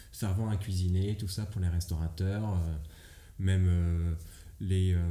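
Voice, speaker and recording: Audible room echo surrounds a man with a very deep, low pitch. He speaks at a very slow pace with fairly even intonation. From Brittany, France. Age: 20s. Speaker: comedian. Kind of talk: casual chat. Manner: hesitant, many fillers.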